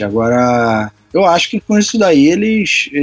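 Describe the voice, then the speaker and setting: Lively in intonation, a man with a fairly high pitch has an ordinary speaking voice. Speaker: podcast host, civil engineering student. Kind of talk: casual chat.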